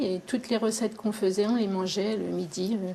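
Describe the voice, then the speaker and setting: Fairly even intonation runs through this dark, mellow voice. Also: woman. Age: 60s. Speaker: retired vineyard cook. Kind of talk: interview.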